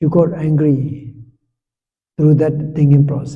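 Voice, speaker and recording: A man's very slow, fairly high-pitched voice, somewhat breathy, with a dark, mellow tone, monotone, flat intonation and audible room echo. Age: 70s. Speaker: Buddhist monk and meditation teacher. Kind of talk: meditation instruction talk.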